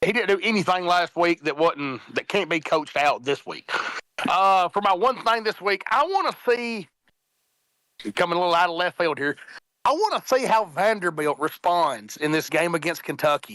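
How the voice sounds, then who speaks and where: With a strong Southern accent, a man speaks high and with lively intonation in a bright, sharp tone, the sound dry and close with no echo. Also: moderate pace. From Middle Tennessee. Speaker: college football panelist. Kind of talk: casual sports talk.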